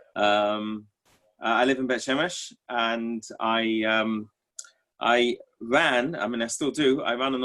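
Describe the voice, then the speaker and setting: With an English accent, a man talks at a medium pitch with fairly even intonation. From England. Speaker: tour organizer, course student. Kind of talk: self-introduction in class. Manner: halting.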